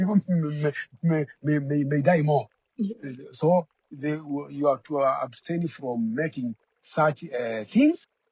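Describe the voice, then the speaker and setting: Somewhat breathy, a man speaks very slowly at a fairly high pitch with ordinary pitch variation, the sound dry and close with no echo. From Kenya. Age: old. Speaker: community elder. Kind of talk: interview answer. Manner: hesitant, repetitive.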